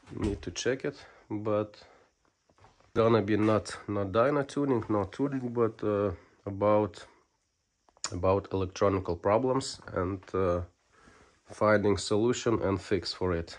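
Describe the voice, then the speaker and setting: A man with a Lithuanian accent talks at a fairly slow pace in a fairly low pitch, with ordinary pitch variation and long, frequent pauses. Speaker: motorcycle ECU tuning technician. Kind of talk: technical video tutorial. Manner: hesitant, many fillers.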